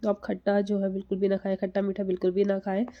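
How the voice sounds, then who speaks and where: Against a quiet background, a soft-spoken woman talks at a medium pitch in a dark, mellow tone. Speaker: TB survivor content creator. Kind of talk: live stream Q&A advice talk. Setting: live session. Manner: slow, speaking softly.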